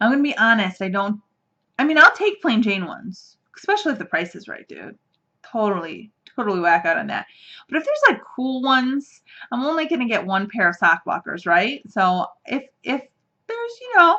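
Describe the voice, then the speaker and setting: A woman's fairly high, bright and sharp voice, animated in tone, with very wide pitch swings, big swings in loudness and a fairly quick pace. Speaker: knitting podcast host. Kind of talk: casual chat. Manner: fast.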